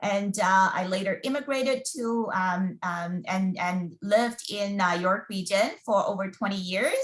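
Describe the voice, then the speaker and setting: With a Mandarin accent, a woman talks at a fairly slow pace, using lively intonation at a medium pitch. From China. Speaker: school board recruitment officer. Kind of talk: webinar presentation. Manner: halting, many fillers.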